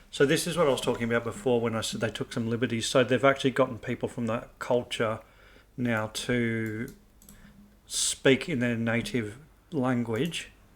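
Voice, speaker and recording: A soft-spoken man of medium pitch speaks at a moderate pace with fairly even intonation. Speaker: video game streamer. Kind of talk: gameplay commentary.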